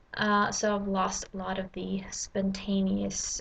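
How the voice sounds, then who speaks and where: A woman with a Swedish accent. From Sweden. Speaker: language learner. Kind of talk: casual vlog. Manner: halting, many fillers.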